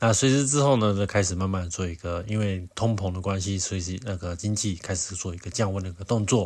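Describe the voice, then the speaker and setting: Pitched very deep and low, a man speaks at a fairly quick pace. His voice is somewhat breathy, with ordinary pitch variation. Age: middle-aged. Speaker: podcast host. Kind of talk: solo news commentary. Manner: halting with many fillers.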